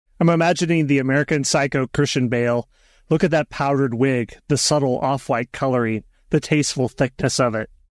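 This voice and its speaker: A plain, everyday voice from a man, fairly high in pitch, fairly quick in pace, with fairly even intonation and a dry, close sound with no echo over a quiet background. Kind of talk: roundtable chat.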